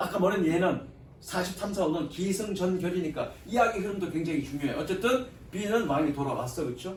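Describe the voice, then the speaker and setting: Amid noticeable background noise and audible room echo, a man speaks in a high pitch with ordinary pitch variation. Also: moderate pace. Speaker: English teacher. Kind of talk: lecture.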